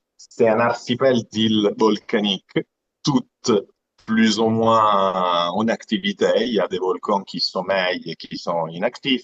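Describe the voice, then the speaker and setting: A man with an Italian accent speaks at a very slow pace in a fairly low pitch. The sound is dry and close with no echo. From Italy, Aeolian Islands (Sicily). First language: Italian (speaking French). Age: 30s. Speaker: aquarium business founder. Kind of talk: live interview presentation. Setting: live stream. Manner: halting, repeats words.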